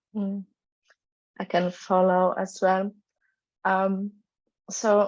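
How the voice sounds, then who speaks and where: A woman speaks at a medium pitch with a Polish accent. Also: quiet background. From Poland. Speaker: panelist. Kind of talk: panel discussion.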